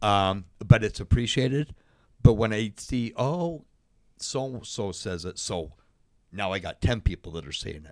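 In a normal speaking voice, a man talks at a fairly slow pace with a fairly low pitch, lively intonation and big swings in loudness. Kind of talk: casual interview. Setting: studio.

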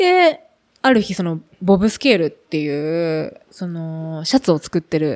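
In an unremarkable speaking voice, a woman speaks at a fairly slow pace and fairly low pitch with ordinary pitch variation, the sound dry and close with no echo. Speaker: bicycle company representative. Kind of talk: casual chat.

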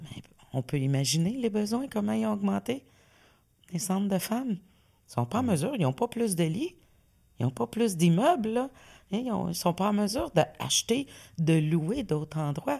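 A woman with a Quebec accent speaks at medium pitch in a dark, mellow tone. Her pace is fairly slow, with very wide pitch swings and long, frequent pauses. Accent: Québécois French. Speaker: community organization director. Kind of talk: casual interview. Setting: studio with camera.

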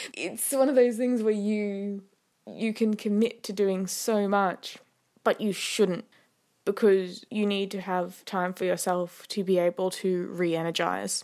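On a very clean recording with a silent background, a woman talks at a fairly slow pace in a medium pitch with fairly even intonation. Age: 20s. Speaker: podcast host. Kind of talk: casual solo monologue. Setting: home bedroom. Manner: chatty, laughs often.

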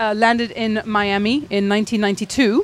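This woman's fairly high voice stays flat and monotone throughout. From England. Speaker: architect. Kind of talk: radio interview.

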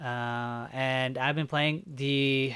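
A man's medium-pitched voice with fairly even intonation, on a very clean recording against a silent background. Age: 20s. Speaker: podcast co-host. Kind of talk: casual chat.

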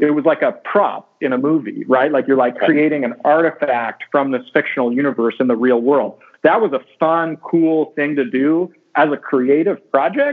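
A man with an American accent and a normal speaking voice, fairly high in pitch, with ordinary pitch variation and a moderate pace. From US West Coast, California. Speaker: science fiction author. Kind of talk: interview.

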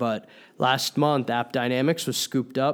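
A man speaks in a plain, everyday voice, medium in pitch with fairly even intonation. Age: 20s. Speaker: venture capital investor. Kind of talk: commentary on financial news. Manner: frequent fillers, some repetitions.

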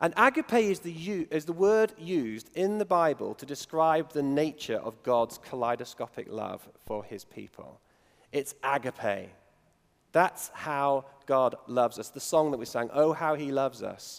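With a northern English accent, a man speaks at a fairly slow pace in a fairly high voice. His intonation is lively, and his loudness swings widely. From northern England. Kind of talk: sermon. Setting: church. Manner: halting.

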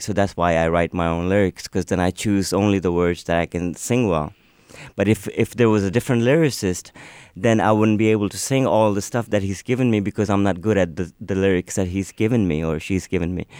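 Speaking at a moderate pace, a man with a fairly low pitch and ordinary pitch variation is heard in a dry, close sound with no echo. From Pakistan. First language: Urdu. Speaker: singer-songwriter. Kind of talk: radio interview. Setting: studio.

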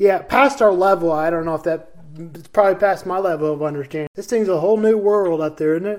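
Speaking very fast with an American accent, a man has a high pitch with ordinary variation. His loudness swings widely. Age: 20s. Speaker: sports podcast host. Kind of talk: casual chat.

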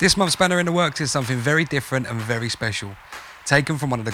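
A man's voice rises and falls in a lively way at a medium pitch, with noticeable noise in the background.

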